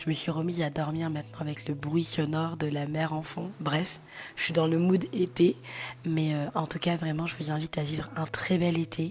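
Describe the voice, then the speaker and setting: In a very deep, low pitch, a woman talks at a moderate pace with monotone, flat intonation. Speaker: lifestyle vlogger. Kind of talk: casual vlog talk. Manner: hesitant with many fillers; whispering.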